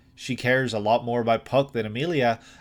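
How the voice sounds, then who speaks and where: Talking at a fairly quick pace, a man with an Irish accent speaks at a medium pitch on a very clean recording with a silent background. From Ireland. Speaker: anime reaction youtuber. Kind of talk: reaction analysis monologue. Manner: halting.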